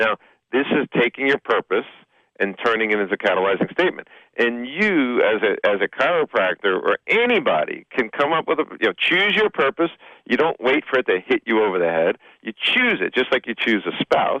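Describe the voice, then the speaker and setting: A fairly quick pace in a New Jersey accent. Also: man. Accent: New Jersey twang. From Hoboken, New Jersey, US. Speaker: business coach and speaker. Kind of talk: radio interview. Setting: radio studio.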